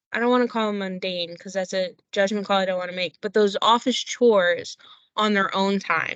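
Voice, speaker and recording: With a Philadelphia accent, a woman talks at a moderate pace in a medium-pitched voice with fairly even intonation. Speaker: company employee. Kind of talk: podcast interview.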